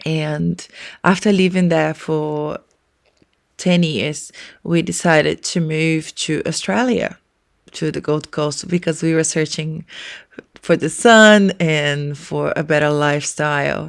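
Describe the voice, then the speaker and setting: The speaker has a Portuguese accent and ordinary pitch variation. The pace is very slow. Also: woman, very deep, low pitch for a woman. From Brazil. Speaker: early childhood educator and podcast co-host. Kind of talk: casual podcast introduction.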